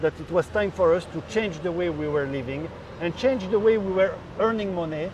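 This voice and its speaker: Moderate pace and ordinary pitch variation in a French accent, with noticeable background noise. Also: man. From France. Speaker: rice business owner. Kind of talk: interview.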